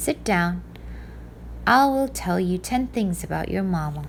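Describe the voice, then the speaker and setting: Over clear background noise, a woman performs a put-on character voice at a moderate pace. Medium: read story. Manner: soft-spoken, mild.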